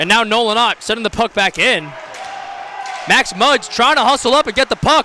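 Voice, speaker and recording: A man speaks in a raised, projected voice at an extremely high pitch, with ordinary pitch variation and long, frequent pauses. The sound is dry and close with no echo, but there is noticeable background noise. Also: moderate pace. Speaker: amateur hockey play-by-play commentator. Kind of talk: live sports commentary. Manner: stumbling over words at times.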